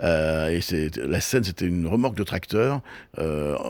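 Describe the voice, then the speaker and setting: A man speaks with lively intonation. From Brittany, France (Brest). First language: Breton (speaking French). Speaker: TV and festival producer. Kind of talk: interview. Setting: on location in Brittany. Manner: hesitant, many repetitions; fast.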